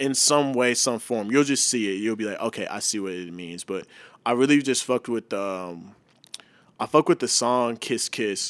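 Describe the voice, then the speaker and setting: A man with an American accent speaks at a moderate pace and medium pitch, with ordinary pitch variation and an ordinary speaking voice. The recording is very clean with a silent background, and the sound is dry and close with no echo. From Texas, Mansfield near Dallas. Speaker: videographer and former actor. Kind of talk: casual interview chat.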